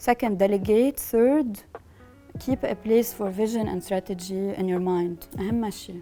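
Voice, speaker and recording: A woman with a Lebanese accent at a medium pitch, speaking at a very slow pace, music in the background. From Lebanon. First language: Lebanese Arabic. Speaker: business founder and managing partner. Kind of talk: interview answer. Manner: code-switching between English and Arabic.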